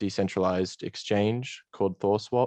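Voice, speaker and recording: A man speaks with an Australian accent, his pitch very deep and low. The sound is dry and close, with no echo. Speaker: game project co-founder. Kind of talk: interview. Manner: hesitant, many fillers.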